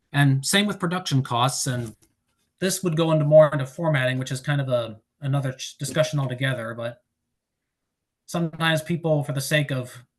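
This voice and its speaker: At a fairly quick pace, the speaker sounds somewhat breathy. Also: man, ordinary pitch variation. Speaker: author giving a writing presentation. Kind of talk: presentation. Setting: online presentation. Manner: fast.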